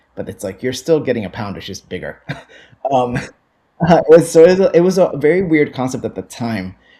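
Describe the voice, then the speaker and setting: A man's fairly high-pitched voice with a dark, mellow tone and vocal fry, at a fairly quick pace, with very wide pitch swings and big swings in loudness. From Puerto Rico. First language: Spanish. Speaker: coffee buyer. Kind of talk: podcast interview.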